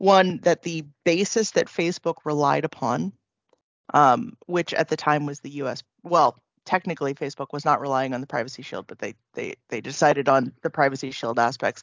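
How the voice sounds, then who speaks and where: A woman's very deep, low voice in an American accent, with ordinary pitch variation. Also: moderate pace. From California, US. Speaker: data protection consultant, lawyer. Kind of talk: casual interview chat about GDPR. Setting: remote recording.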